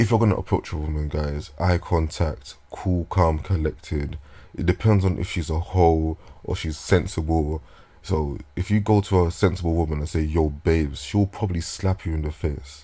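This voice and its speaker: With a very deep, low pitch and a dark, mellow tone, a man sounds somewhat breathy, showing ordinary pitch variation. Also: moderate pace. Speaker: vlogger. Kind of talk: casual monologue. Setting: talking into a microphone at home. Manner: halting.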